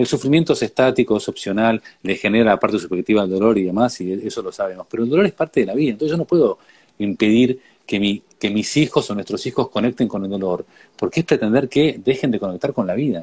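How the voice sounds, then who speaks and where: Speaking at a very fast pace, a man uses lively intonation at a medium pitch. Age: 40s. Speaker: educator on grief and death. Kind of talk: conversational interview.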